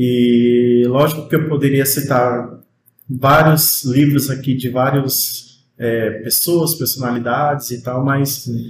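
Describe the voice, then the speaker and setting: Somewhat breathy, a man talks at a very slow pace and medium pitch with monotone, flat intonation. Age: 30s. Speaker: music student. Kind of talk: casual interview chat.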